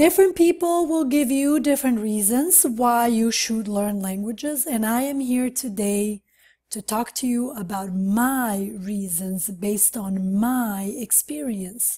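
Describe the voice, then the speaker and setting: A woman with a non-native accent speaks at a fairly slow pace with hardly any pauses, her fairly high, somewhat breathy voice dark and mellow in tone. Her intonation is lively, and the recording is very clean with a silent background. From Montenegro, then Sweden from age ten. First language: Serbo-Croatian. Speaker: language teacher. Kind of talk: video monologue. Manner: conversational, friendly.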